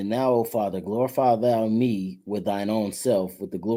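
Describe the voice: The reading aloud is plain, and its intonation holds fairly even.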